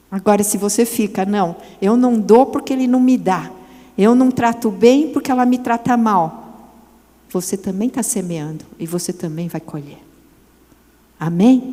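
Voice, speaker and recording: With lively intonation and long, frequent pauses, a woman talks at a fairly high pitch and a fairly slow pace. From Brazil, São Paulo. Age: 60s. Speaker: women's ministry speaker. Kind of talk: sermon. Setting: church event with audience.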